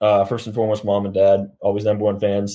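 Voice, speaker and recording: In a Californian accent, a man with a dark, mellow tone talks at a fairly quick pace in a monotone, flat intonation. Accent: American (California). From California, Sacramento. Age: 20s. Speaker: professional rugby player. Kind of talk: interview.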